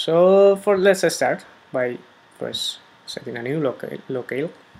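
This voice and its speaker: This man has a high pitch and lively intonation and speaks at a moderate pace. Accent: Spanish. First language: Spanish. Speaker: software developer. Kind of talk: tutorial. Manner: hesitant, many fillers.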